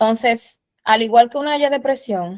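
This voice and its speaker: Recorded with dry, close sound and no echo, a woman uses an ordinary speaking voice at a moderate pace with ordinary pitch variation. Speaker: instructor. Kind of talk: lecture.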